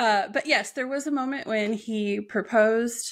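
The pitch variation is ordinary, and the background is quiet. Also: woman. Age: 40s. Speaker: entrepreneur and abuse survivor sharing her story. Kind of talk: personal testimony in interview. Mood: reflective, personal story. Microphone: earbuds.

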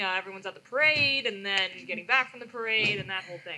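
A woman speaks at a very fast pace, her pitch varying in an ordinary way. Light background noise can be heard. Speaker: panel moderator. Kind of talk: panel discussion. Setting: conference room with audience. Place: hall.

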